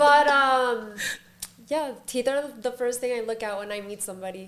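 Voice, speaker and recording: A woman talks in a high voice at a moderate pace with ordinary pitch variation. Her loudness swings widely. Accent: American. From Florida, Palm Beach. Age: 30s. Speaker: hairstylist. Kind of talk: casual chat.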